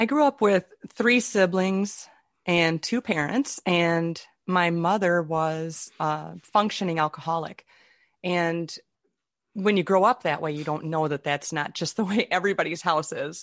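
In a dry, close sound with no echo and a quiet background, a woman with an unremarkable speaking voice talks at a fairly slow pace in a fairly low pitch with ordinary pitch variation. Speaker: author and improv comedian. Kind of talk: interview.

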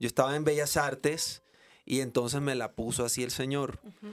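The speaker is a man with a plain, everyday voice, a fairly high pitch and ordinary pitch variation. He keeps a moderate pace on a very clean recording with a silent background. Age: 40s. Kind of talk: casual chat.

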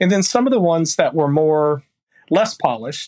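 In a Texan accent, a man talks at a fairly quick pace with a dry, close sound and no echo. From rural Texas. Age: 50s. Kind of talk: casual chat.

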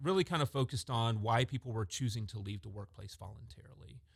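On a very clean recording with a silent background, a man talks very fast in a somewhat breathy, fairly low voice with ordinary pitch variation. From Georgia, Augusta. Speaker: HR deputy director. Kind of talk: podcast panel discussion.

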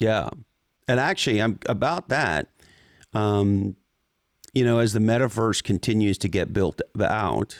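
In a very clean recording with a silent background and a dry, close sound with no echo, a man with a normal speaking voice talks at a fairly slow pace in a fairly low pitch, his intonation fairly even. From Montreal, Canada. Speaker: tech executive and business author. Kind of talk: interview conversation.

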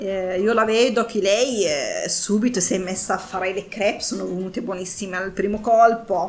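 A woman with an Arabic accent and fairly even intonation, amid audible room echo and noticeable background noise. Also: medium pitch for a woman, moderate pace, hardly any pauses. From Morocco, El Jadida. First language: Arabic (speaking Italian). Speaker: community association worker. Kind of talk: interview. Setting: cooking workshop.

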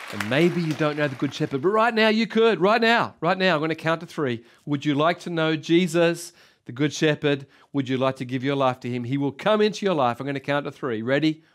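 Speaking with an Australian accent, a man has a fairly high voice, an animated tone and lively intonation. The recording is very clean, with a silent background. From Australia (Sydney). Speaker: pastor. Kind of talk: sermon.

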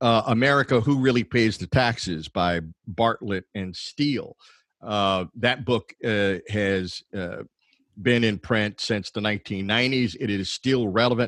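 Speaking very slowly, a man uses a medium pitch with ordinary pitch variation. The sound is dry and close with no echo. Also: very clean recording, silent background. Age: 70s. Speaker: higher education consultant. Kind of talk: panel discussion.

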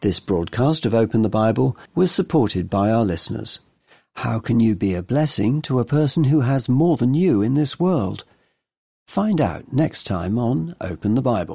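A man's dark, mellow, somewhat breathy voice at medium pitch, with very wide pitch swings, a moderate pace and a quiet background. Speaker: radio program presenter. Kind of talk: radio presenting.

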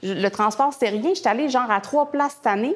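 A woman talks in a normal speaking voice. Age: 30s. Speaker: visual artist and author. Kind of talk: interview. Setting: artist studio.

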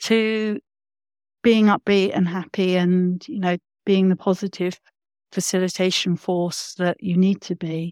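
A woman talks at medium pitch with fairly even intonation. The recording is very clean with a silent background, and the sound is dry and close with no echo. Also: fairly slow pace. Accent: London. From London. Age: 50s. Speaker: facilitator and consultant. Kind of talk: casual interview.

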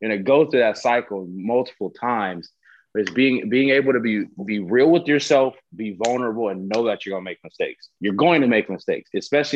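An unremarkable speaking voice from a man, medium in pitch, with ordinary pitch variation at a fairly quick pace. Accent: American. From Southern California. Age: 20s. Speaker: professional football player. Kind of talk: casual interview.

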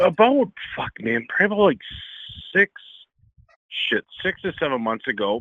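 A man with an American accent, high-pitched, swinging very widely in pitch, at a fairly slow pace with long, frequent pauses. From Ontario, Canada, near Detroit. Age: 40s. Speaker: caller. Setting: phone call.

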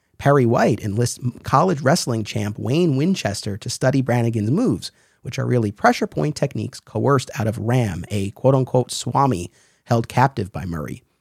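Vocal fry runs through the voice on a very clean recording with a silent background. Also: man, medium pitch for a man, lively intonation, moderate pace, dry, close sound with no echo. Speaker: podcast host. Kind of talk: scripted intro and casual interview chat.

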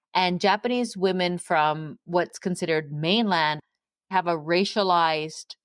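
A woman speaks at a fairly slow pace with ordinary pitch variation in a plain, everyday voice, recorded dry and close with no echo on a very clean recording with a silent background. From England and Canada. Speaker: professor and author. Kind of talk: interview.

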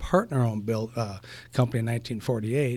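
A man in a Wisconsin accent, medium-pitched, with fairly even intonation, on a very clean recording with a silent background. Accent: Upper Midwest (Wisconsin). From Eau Claire, Wisconsin. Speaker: construction company president. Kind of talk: casual interview.

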